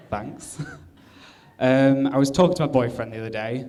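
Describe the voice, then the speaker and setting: Audible room echo follows a man of medium pitch who speaks with an English accent at a fairly quick pace. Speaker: comedian. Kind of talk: stand-up. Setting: stage with audience.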